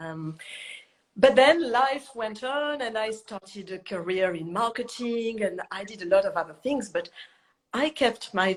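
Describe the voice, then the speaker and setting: With a French accent, a woman speaks at a fairly slow pace with lively intonation. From southern France. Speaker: chef and cookbook author. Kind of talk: interview.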